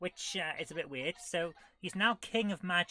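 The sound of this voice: The pitch shows ordinary variation as an unforced reading voice goes on.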